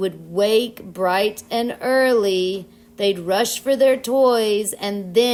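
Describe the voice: Plain reading aloud, with ordinary pitch variation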